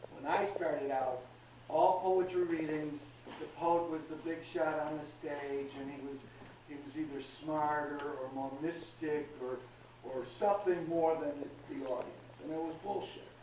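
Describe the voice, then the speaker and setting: Over noticeable background noise, a man with a fairly high pitch speaks at a fairly slow pace and with fairly even intonation. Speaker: slam poet. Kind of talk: interview answer. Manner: casual, profane.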